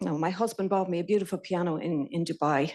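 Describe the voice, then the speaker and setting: A woman speaks with a Connemara accent. Her pitch varies in an ordinary way. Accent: Irish, Connemara. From Ireland, Connemara Gaeltacht. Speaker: intern in software development. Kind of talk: lightning talk. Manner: halting.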